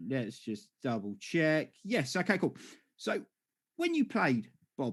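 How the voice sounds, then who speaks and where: Speaking at a very slow pace with an English accent, a man with a fairly high pitch uses very wide pitch swings and vocal fry. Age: 40s. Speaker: podcast host. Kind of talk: casual chat.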